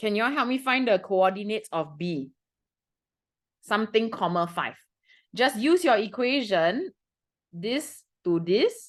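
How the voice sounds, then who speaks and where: Against a quiet background, a woman with a Singaporean accent speaks at a fairly high pitch in an animated tone, with very wide pitch swings and long, frequent pauses. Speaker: math tutor. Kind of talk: lesson to students.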